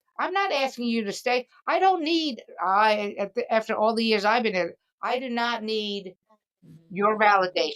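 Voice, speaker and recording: Lively intonation in an unremarkable speaking voice, moving at a moderate pace. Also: woman, fairly high pitch for a woman. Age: 60s. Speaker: comedian and podcast host. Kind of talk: casual chat.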